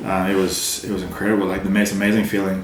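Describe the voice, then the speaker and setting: A man with an American accent talks at a very fast pace in a fairly low, monotone, flat voice. Noticeable background noise and audible room echo fill the recording. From South Africa. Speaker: extreme endurance swimmer. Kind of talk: podcast interview. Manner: casual, hesitant with many fillers.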